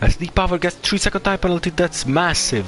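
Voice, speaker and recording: A man talks with a non-native accent. Background noise is noticeable behind him. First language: not English. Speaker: sim racing commentator. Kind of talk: live commentary.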